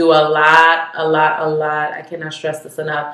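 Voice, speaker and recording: At a moderate pace, a woman talks in a very deep, low voice. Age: 20s. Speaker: registered nurse. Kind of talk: casual talk to camera.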